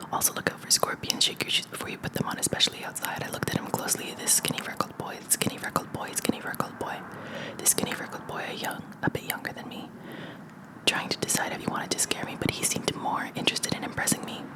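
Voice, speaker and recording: Over noticeable background noise, the whispering rushes along at a very fast pace. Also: woman. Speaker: ASMR creator. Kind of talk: ASMR book reading. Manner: whispered.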